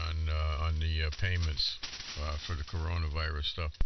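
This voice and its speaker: There is audible room echo and noticeable background noise as a man speaks in a very deep, low voice. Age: 70s. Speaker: ham radio operator. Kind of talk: casual chat. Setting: amateur radio transmission.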